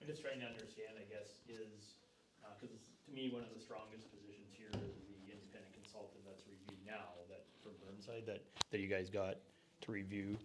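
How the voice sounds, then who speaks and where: Over audible room echo, a man speaks at a fairly quick pace and a fairly low pitch, with fairly even intonation and big swings in loudness. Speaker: audience member. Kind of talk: question at public meeting.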